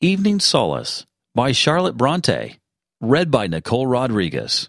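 In a very clean recording with a silent background, a man with vocal fry swings his pitch very widely while keeping his loudness very even. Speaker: podcast announcer. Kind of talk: brief show intro and outro announcement. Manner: clear, formal, polished announcer delivery.

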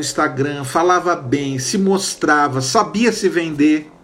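The voice belongs to a man. Noticeable background noise runs behind it. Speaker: marketing consultant and online class host. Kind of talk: online lecture.

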